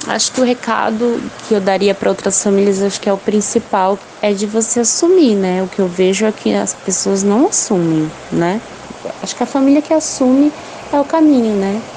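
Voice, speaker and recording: Over noticeable background noise, a woman with a medium-pitched voice speaks with lively intonation. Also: moderate pace. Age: 30s. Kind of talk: testimony.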